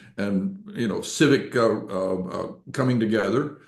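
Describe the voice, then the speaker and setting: Audible room echo hangs around a man's voice. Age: 70s. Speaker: financial author and newsletter publisher. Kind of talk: podcast interview. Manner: halting, many fillers.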